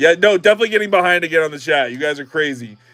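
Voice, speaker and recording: With music in the background, this man's pitch varies in an ordinary way. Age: 40s. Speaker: livestreamer opening trading card packs. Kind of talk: casual livestream chat. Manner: animated.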